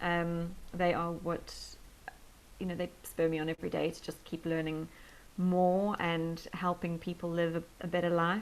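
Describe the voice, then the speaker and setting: In a South African accent, a woman speaks at a moderate pace with a fairly low pitch and monotone, flat intonation. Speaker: health and life coach. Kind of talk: interview podcast. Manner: hesitant, many fillers.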